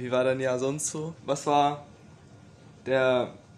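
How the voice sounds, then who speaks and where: The speaker is a man. His voice rests at a medium pitch. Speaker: podcast host. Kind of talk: casual chat.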